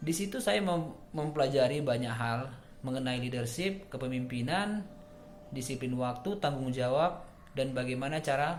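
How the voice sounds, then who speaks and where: There is audible room echo as a man talks at a moderate pace. His pitch is medium, with ordinary variation. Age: 30s. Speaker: job applicant, marketing manager. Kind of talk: self-introduction video. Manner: formal.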